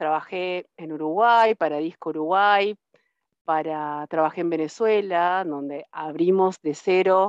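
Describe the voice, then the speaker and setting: Very slow speech from a woman with a fairly low pitch and ordinary pitch variation, dry and close with no echo, over a quiet background. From Argentina, Río Tercero, Córdoba province. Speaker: IT systems manager. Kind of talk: interview. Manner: halting, many repetitions and fillers.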